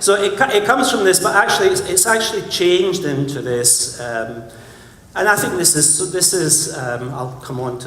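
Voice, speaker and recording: In a Scottish accent, a man speaks at a moderate pace. Audible room echo and noticeable background noise surround him. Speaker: conference speaker, creative director. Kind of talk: conference talk. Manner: animated.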